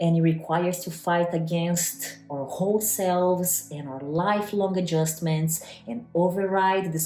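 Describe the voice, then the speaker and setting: With noticeable background noise, a woman with a Brazilian Portuguese accent speaks slowly and fairly low, her intonation fairly even. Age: 30s. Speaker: personal trainer and nutrition coach. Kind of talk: online class talk.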